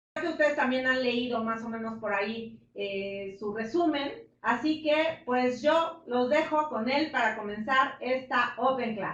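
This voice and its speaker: Against noticeable background noise, a woman with a high pitch speaks at a fairly slow pace, with hardly any pauses and ordinary pitch variation. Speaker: class host.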